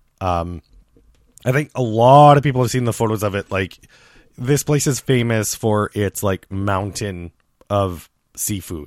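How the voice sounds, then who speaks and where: A man with a plain, everyday voice, fairly low pitch and ordinary pitch variation, at a fairly slow pace, in a very clean recording with a silent background and a dry, close sound with no echo. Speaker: podcast host. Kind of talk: casual chat.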